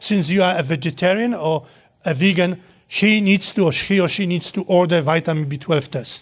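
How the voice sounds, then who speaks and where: Speaking at a moderate pace, a man with high pitch and ordinary pitch variation is captured on a very clean recording with a silent background. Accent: Polish. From Poland. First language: Polish. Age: 60s. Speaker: nutrition professor. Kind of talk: lecture with Q&A. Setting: hall with live audience.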